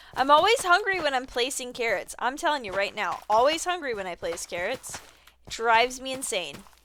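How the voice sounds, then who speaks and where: Over noticeable background noise, a woman talks at a fairly quick pace with a high pitch, very wide pitch swings and big swings in loudness. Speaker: video game streamer. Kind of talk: live gameplay stream chat. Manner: sleepy, drowsy.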